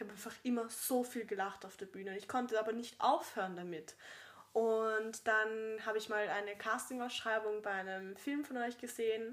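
A woman with a plain, everyday voice speaks at a fairly high pitch. Her pace is moderate and her intonation fairly even. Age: 20s. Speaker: actress and podcast co-host. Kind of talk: casual chat.

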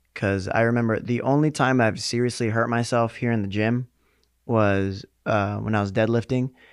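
Against a quiet background, a man with a normal speaking voice talks at a moderate pace and medium pitch, with very even loudness and fairly even intonation. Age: 20s. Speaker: fitness coach and podcast host. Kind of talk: casual chat.

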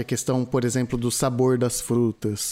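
At a moderate pace, a man speaks at medium pitch in a normal speaking voice. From Brazil. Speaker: podcast host. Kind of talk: casual chat.

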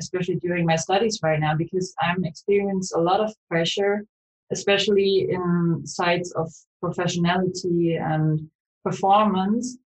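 At a moderate pace, a woman talks in a somewhat breathy, medium-pitched voice. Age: 20s. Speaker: student and startup co-founder. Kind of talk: interview.

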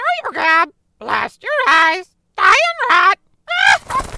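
An extremely high, put-on character voice moves at a very slow pace. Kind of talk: 1940s radio acting. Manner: screeching, repetitive.

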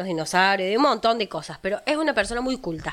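A woman speaks at a fairly high pitch. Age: 20s. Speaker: podcast co-host. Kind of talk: casual chat.

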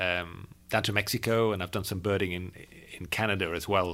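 In a very clean recording with a silent background, a man speaks at a fairly low pitch and a moderate pace. His tone is bright and sharp, his intonation fairly even. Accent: Yorkshire. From Yorkshire, northern England. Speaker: birding podcast host. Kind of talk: casual chat. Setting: travelling in California.

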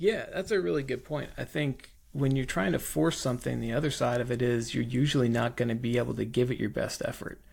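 A man's medium-pitched voice with vocal fry, ordinary pitch variation, and a fairly quick pace, in a very clean recording with a silent background. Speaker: podcast co-host. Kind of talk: casual chat. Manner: joking, teasing.

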